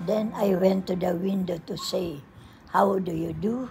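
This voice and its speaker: A woman at a very slow pace with music in the background. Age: 80s+. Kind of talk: poetry reading.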